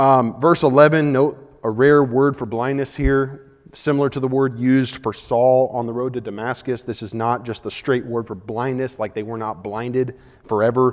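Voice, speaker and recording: Moderate in pace and medium in pitch, a man talks in an unremarkable speaking voice. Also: fairly even intonation. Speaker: Bible class teacher. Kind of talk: Bible class lecture. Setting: church auditorium with class.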